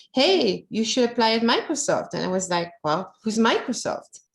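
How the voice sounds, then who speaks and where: A woman speaks with a French accent. Her pitch sits fairly high. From France. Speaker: localization manager. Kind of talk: personal career story talk.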